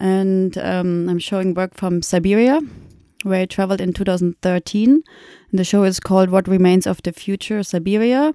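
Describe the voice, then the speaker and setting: In a very clean recording with a silent background and a dry, close sound with no echo, a woman with a German accent speaks at a moderate pace and medium pitch, her tone dark and mellow and her pitch ordinarily varied. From Germany (Munich). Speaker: documentary photographer. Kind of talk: podcast interview. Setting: university office.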